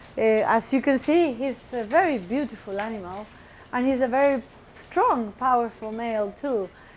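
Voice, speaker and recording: Moderate pace, with noticeable background noise. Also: woman, high pitch for a woman, ordinary pitch variation. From Chile. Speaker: primatologist. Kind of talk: public lecture.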